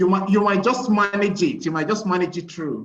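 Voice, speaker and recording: Here a man speaks with a high pitch and a slight Nigerian accent. The room's echo is audible. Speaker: conference participant. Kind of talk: casual chat.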